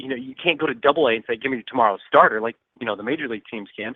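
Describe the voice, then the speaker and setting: A man speaks with ordinary pitch variation. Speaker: minor league baseball broadcaster guest. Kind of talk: casual baseball commentary.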